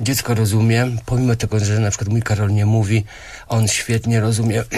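A man speaks in a monotone, flat way. His voice is somewhat breathy. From Poland, Grudziądz; Poland. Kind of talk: radio interview. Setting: radio studio. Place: studio.

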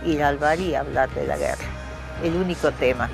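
A woman at a fairly slow pace, clear music playing in the background. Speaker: writer. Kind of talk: interview answer. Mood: reflective, proud, animated gestures. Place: garden.

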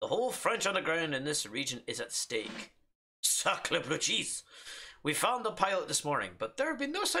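Quiet background behind an unforced reading voice

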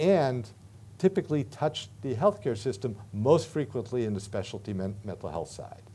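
A man with an American accent talks with lively intonation in a dark, mellow, somewhat breathy tone. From United States. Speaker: professor. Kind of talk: lecture. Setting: stage with audience. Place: meeting room. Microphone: podium.

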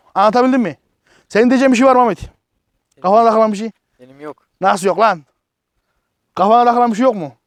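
In a dry, close sound with no echo, a man talks in a high pitch with an animated tone, ordinary pitch variation and big swings in loudness, going at a very fast pace broken by long, frequent pauses. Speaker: product reviewer, YouTuber. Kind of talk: casual product review vlog.

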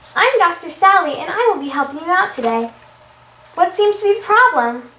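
This is a squeaky, put-on character voice at a moderate pace. An echo can be heard. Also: woman, extremely high pitch for a woman. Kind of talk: scripted puppet show dialogue. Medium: comedy sketch. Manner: warm, reassuring. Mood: friendly and professional.

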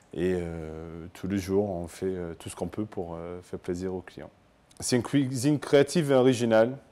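Speaking at a moderate pace, a man uses lively intonation in a very deep, low voice. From Scotland. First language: English (speaking French). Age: 30s. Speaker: chef. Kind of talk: interview testimony. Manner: halting, many hesitations.

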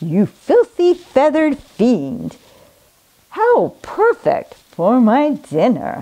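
A woman puts on a cackling character voice, pitched high. She speaks at a very slow pace. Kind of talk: theatrical villain. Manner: cackling, gleeful, menacing.

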